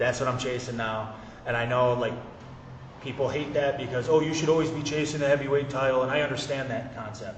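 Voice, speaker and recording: A man speaks very fast in an animated tone at a medium pitch. Noticeable background noise and audible room echo fill the recording. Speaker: pro wrestler. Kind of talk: casual chat. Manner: loud.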